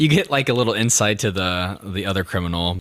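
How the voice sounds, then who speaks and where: On a very clean recording with a silent background, a man speaks fairly quickly at a fairly low pitch in a plain, everyday voice. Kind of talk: casual podcast conversation.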